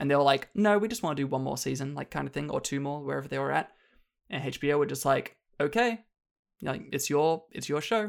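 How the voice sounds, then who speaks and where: In a strong Australian accent, the speech races at a very fast pace on a very clean recording with a silent background. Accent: Australian, still strong. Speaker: film dialogue editor. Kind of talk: casual chat.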